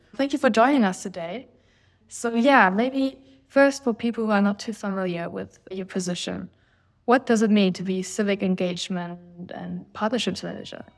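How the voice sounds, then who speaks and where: A woman's unremarkable speaking voice at medium pitch and a moderate pace, with ordinary pitch variation, big swings in loudness and a very clean recording over a silent background. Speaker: podcast host. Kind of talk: interview chat.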